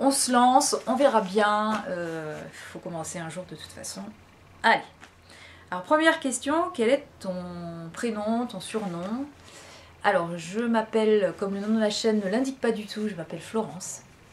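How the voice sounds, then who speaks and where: Over noticeable background noise, a woman speaks fairly slowly at a fairly high pitch. Her loudness swings widely. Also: lively intonation. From western France (La Rochelle). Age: 40s. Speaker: vlogger. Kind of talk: casual chat. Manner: hesitant, many fillers.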